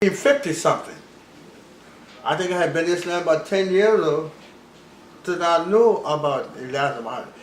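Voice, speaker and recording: A man with a high pitch speaks at a moderate pace, with ordinary pitch variation. He leaves long, frequent pauses. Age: 80s+. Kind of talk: interview answer.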